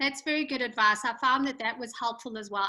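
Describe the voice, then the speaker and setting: A woman speaks with a South African accent. Her tone is bright and sharp, and her intonation fairly even. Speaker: podcast host and author. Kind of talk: interview. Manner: hesitant, many fillers.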